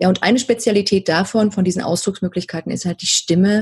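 A woman's somewhat breathy voice. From East Germany. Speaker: voice coach. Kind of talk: interview. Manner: hesitant, many filler sounds.

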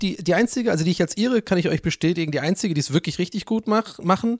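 A man talks at a very fast pace in a high pitch with lively intonation. The sound is dry and close with no echo, on a very clean recording with a silent background. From Ireland, Dublin. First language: English (speaking German). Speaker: podcast guest. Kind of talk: casual chat.

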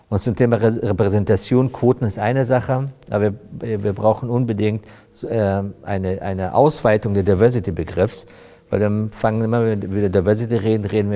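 Fairly low-pitched and fairly quick, a man talks in an unremarkable speaking voice with fairly even intonation. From Afghanistan, came to Germany as young refugee. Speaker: corporate HR director. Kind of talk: podcast interview.

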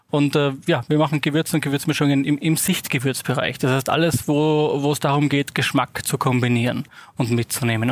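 With an Austrian accent, a man talks at a fairly quick pace in a fairly high pitch, keeping his intonation fairly even and his loudness very even. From Austria, Salzburg. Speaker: spice company managing director. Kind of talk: interview.

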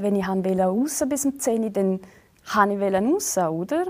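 Over noticeable background noise, a woman speaks at a moderate pace. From Switzerland. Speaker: reality TV bachelorette and TikToker. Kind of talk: casual interview. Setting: studio.

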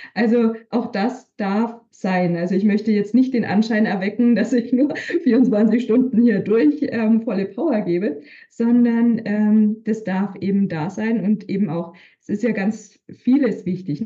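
Her voice is fairly high, somewhat breathy and dark and mellow in tone. The woman speaks at a very slow pace. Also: ordinary pitch variation. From Bavaria, Upper Franconia (Hof). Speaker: leadership coach and manager. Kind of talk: interview conversation.

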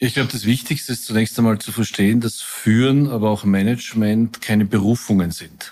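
In a very clean recording with a silent background, a man with a normal speaking voice and medium pitch talks at a fairly quick pace with fairly even intonation and hardly any pauses. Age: 60s. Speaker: company executive. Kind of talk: interview.

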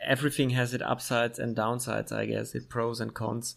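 Here a man speaks with a German accent. His pace is fairly slow. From Germany, Middle Franconia (Bavaria). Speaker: podcast host. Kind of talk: casual interview.

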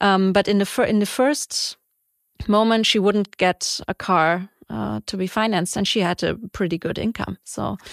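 An ordinary speaking voice comes from a woman at a medium pitch, with ordinary pitch variation and a moderate pace. The recording is very clean, with a silent background and a dry, close sound with no echo. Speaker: podcast host and award jury member. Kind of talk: interview. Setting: studio.

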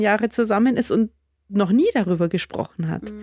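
A woman's fairly high voice with lively intonation at a moderate pace, in a dry, close sound with no echo. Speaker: podcast host. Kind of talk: interview.

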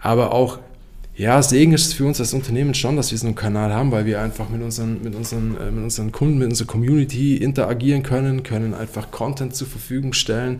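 Against audible room echo, a man at a medium pitch talks at a very fast pace with fairly even intonation. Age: 30s. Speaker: company managing director. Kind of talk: podcast interview.

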